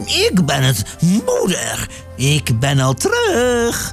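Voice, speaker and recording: A man puts on a character voice, pitched high. Clear music plays behind him. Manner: deceptive, pretending to be the mother.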